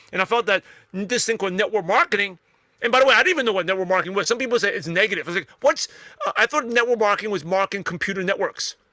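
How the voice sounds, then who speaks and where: Very fast speech in a raised, projected voice, bright and sharp in tone, shows ordinary pitch variation and a dry, close sound with no echo. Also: man, high pitch for a man. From New York (Brooklyn), US. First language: not English (English is third language). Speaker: network marketer and podcaster. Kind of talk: interview.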